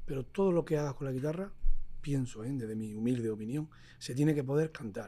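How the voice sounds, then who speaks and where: Medium in pitch with a dark, mellow tone, this man talks at a fairly quick pace. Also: ordinary pitch variation. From Motril, Granada, Andalusia, Spain. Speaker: flamenco guitarist. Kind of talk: casual interview conversation. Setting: jazz club.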